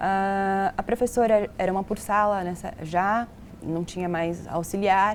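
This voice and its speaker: An unremarkable speaking voice from a woman, medium in pitch, fairly slow, with fairly even intonation. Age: 20s. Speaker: medical student. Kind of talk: interview.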